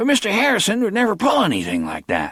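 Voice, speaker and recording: This man uses a put-on character voice, pitched high. He rattles along at a very fast pace. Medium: read story. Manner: eager, impressionable.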